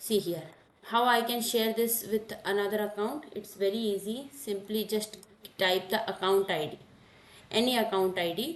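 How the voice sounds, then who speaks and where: A woman speaks at a fairly high pitch with ordinary pitch variation, and audible echo fills the room. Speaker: cloud computing instructor. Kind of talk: lecture. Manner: slow.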